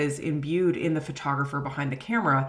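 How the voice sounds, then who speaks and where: A woman at a moderate pace, with audible room echo. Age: 30s. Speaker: history professor. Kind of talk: lecture.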